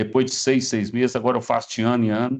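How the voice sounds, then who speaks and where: This man's intonation is monotone and flat. His voice rests at a medium pitch. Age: 60s. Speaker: cancer survivor. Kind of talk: testimony.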